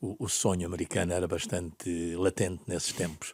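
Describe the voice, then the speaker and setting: Very deep and low, a man's voice holds a flat, monotone intonation. The recording is very clean, with a silent background. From Portugal, Bombarral (Oeste region). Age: 70s. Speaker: football executive. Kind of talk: interview. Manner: halting.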